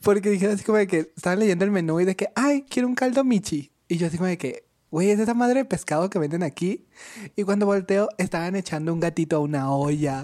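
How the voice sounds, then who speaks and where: On a very clean recording with a silent background, a woman speaks very fast at medium pitch in a dark, mellow tone with lively intonation. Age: young. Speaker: podcast co-host. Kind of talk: casual chat.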